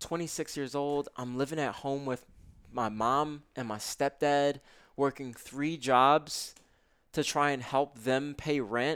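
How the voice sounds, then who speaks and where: This man's voice sits fairly high, with fairly even intonation. He talks at a very slow pace. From US Northeast (Brooklyn, New York). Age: 20s. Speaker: self-development author and meditation teacher. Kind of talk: casual interview.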